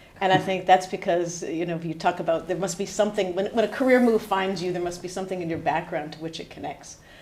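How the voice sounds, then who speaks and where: Over noticeable background noise, a woman with an American accent speaks at a very fast pace with fairly even intonation. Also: medium pitch for a woman, big swings in loudness. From US, New Hampshire. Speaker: head of HR. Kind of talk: podcast interview.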